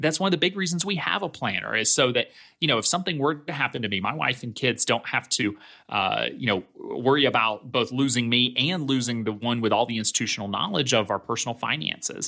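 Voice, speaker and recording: On a very clean recording with a silent background, a man races along at a very fast pace, his bright, sharp tone carrying lively intonation and vocal fry. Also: medium pitch for a man. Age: 30s. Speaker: financial planner and company founder. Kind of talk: interview.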